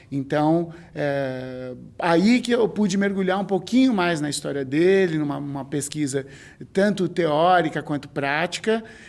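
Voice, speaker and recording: A man talks with lively intonation in a fairly high voice. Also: fairly slow pace. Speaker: clown and stage actor. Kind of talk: documentary interview. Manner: halting, with many fillers.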